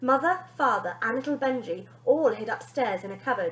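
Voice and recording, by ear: A woman speaks at a moderate pace with a fairly high pitch and lively intonation.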